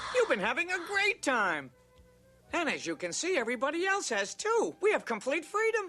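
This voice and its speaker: Faint music plays behind a cartoonish character voice moving at a moderate pace. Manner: brash, breezy.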